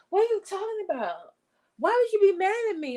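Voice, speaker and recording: Using a put-on character voice, a woman speaks at a fairly quick pace with an extremely high pitch. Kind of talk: entitled suburban. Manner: defensive, feigning innocence.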